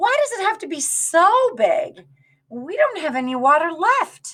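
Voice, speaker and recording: A woman in a put-on character voice pitches herself extremely high, swinging very widely in pitch while moving at a fairly slow pace. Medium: read story.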